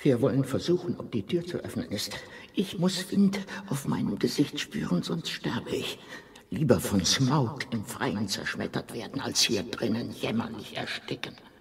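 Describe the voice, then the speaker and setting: A man's put-on character voice, medium in pitch, with very wide pitch swings, a moderate pace and light background noise. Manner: commanding, resolute.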